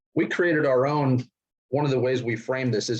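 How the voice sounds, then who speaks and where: The speaker is a man with a medium pitch. His voice is somewhat breathy. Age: 60s. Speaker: investment and securities expert. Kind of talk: interview.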